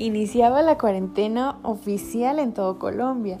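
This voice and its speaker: A woman speaks very slowly while noticeable background noise carries on around her. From Mexico. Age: 20s. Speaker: psychology student. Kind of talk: casual monologue.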